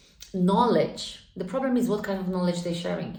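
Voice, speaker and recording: A woman with a Polish accent at a medium pitch and moderate pace, with ordinary pitch variation and audible room echo. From Poland. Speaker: spiritual vlogger. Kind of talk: casual monologue. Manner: conversational, filler-heavy.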